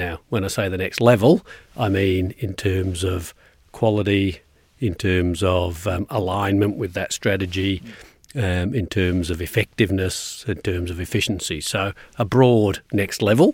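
A man with a very deep, low voice speaks at a fairly slow pace, somewhat breathy and with fairly even intonation. The recording is very clean, with a silent background. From England, Glasgow-born. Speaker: university executive. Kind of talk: interview.

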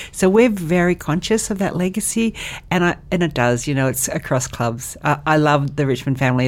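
A woman with an Australian accent speaks at a moderate pace. Her very deep, low voice has lively intonation. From Australia, western Sydney. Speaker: charity CEO. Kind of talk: podcast interview.

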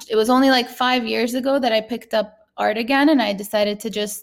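A woman speaks with a fairly high pitch in an unremarkable speaking voice. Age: 30s. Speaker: artist. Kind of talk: interview.

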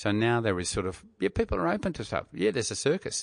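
There's an Australian accent in this man's speech. The background is quiet, and the sound is dry and close with no echo. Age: 60s. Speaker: radio broadcaster. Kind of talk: casual interview chat.

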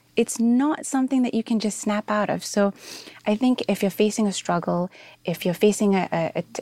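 With an ordinary speaking voice, a woman at medium pitch talks at a fairly quick pace with ordinary pitch variation, in a dry, close sound with no echo. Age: 30s. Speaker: app founder and social entrepreneur. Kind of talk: interview.

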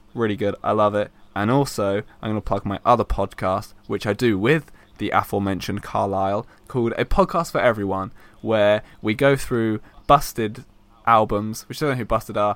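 A man's fairly low-pitched, a normal speaking voice at a moderate pace, with ordinary pitch variation and a very clean recording over a silent background. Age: 20s. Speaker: podcast host. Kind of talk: casual chat.

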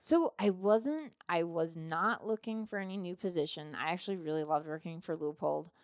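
An ordinary speaking voice with an American accent moves at a fairly quick pace with hardly any pauses and ordinary pitch variation, in a very clean recording with a silent background. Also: woman, fairly low pitch for a woman. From US Midwest, southeastern Minnesota. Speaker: firearms company sales and marketing executive, hunter. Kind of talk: casual interview. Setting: on location during a hunting trip in Utah.

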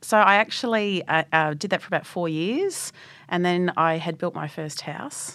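At a moderate pace, a woman with an Australian accent speaks at a fairly low pitch with ordinary pitch variation. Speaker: technology executive. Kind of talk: interview.

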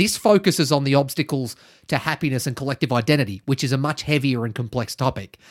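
With an Australian accent, a man speaks very fast at a fairly high pitch with ordinary pitch variation, in a very clean, dry, close recording with no echo and a silent background. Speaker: podcast host. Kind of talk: casual chat. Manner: joking, casual.

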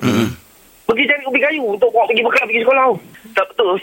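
A man speaks with lively intonation while noticeable background noise runs underneath. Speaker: radio caller. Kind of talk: personal story on a phone-in.

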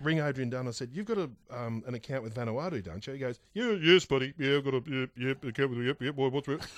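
Very fast speech from a man with an Australian accent, medium in pitch, with ordinary pitch variation and hardly any pauses. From Victoria, Australia. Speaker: podcast host. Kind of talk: casual chat.

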